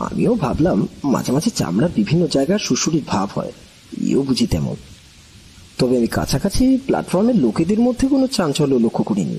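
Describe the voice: Putting on a character voice, a man speaks fairly quickly at a medium pitch, his dark, mellow tone carrying a husky, rough edge as his pitch swings very widely.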